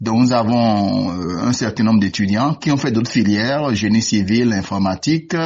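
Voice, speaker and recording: Using an unremarkable speaking voice, a man talks at a fairly slow pace with ordinary pitch variation. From Benin. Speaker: university lecturer, sinologist. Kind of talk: radio interview.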